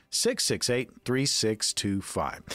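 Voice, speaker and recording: The background is silent and the recording very clean. The man's voice sits at a medium pitch. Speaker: radio host, consumer advocate. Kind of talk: casual chat. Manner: animated.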